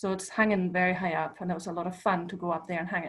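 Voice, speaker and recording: A woman talks at a very fast pace in a German accent. Her voice is somewhat breathy. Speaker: visual artist. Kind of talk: online talk presentation. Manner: hesitant, many fillers.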